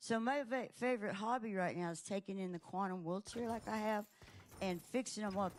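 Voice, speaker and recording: A woman in a normal speaking voice, medium in pitch, with lively intonation and a fairly quick pace. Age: 60s. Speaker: comedian. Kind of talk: casual chat.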